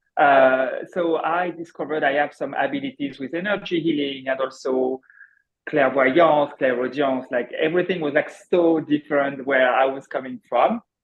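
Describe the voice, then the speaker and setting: With a French accent, a man speaks at a fairly high pitch, a moderate pace and with fairly even intonation. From France. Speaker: accountant turned energy healer. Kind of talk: viewer question on live show. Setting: video call. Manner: halting.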